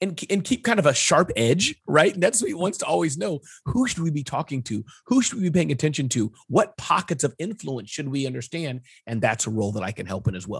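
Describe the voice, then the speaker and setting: Speaking fairly quickly against a quiet background, a man with a fairly high pitch and vocal fry swings his pitch very widely. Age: 40s. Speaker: entrepreneur and small business consultant. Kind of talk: interview.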